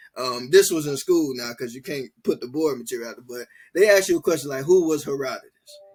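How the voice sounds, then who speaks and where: Against background music, a man with an American accent speaks fairly quickly in a fairly high voice, his loudness swinging widely and his pitch varying in an ordinary way. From Chicago, Illinois. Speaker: funeral director and filmmaker. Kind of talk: casual interview. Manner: conversational, many fillers.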